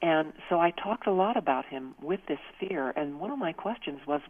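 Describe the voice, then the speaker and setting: A woman with an American accent speaks at a moderate pace with lively intonation. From US West Coast. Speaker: author. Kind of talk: interview.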